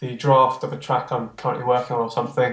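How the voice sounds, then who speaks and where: This man's voice sits at a medium pitch and sounds somewhat breathy. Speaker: music producer. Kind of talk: casual interview chat.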